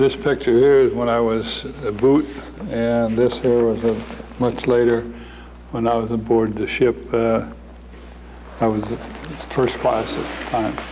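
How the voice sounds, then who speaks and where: At medium pitch and a fairly slow pace, a man speaks with monotone, flat intonation and long, frequent pauses, with audible room echo and noticeable background noise. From Norway, raised in Tacoma, Washington. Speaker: war veteran. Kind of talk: interview. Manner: halting.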